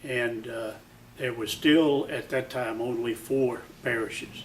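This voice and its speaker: Noticeable background noise and audible room echo surround the recording. A man speaks at medium pitch and a fairly slow pace, in a monotone, flat intonation. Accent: American. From Atlanta, US South. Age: 80s+. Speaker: war veteran and charity volunteer. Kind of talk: interview testimony.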